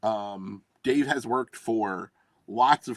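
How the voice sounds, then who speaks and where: Over music in the background, a man talks with a Philadelphia accent. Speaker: tabletop game publisher. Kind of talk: casual chat.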